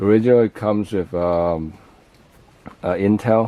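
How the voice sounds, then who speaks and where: Mumbling, a man talks at a fairly low pitch with fairly even intonation. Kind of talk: casual tech talk to camera. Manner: mumbling, hesitant.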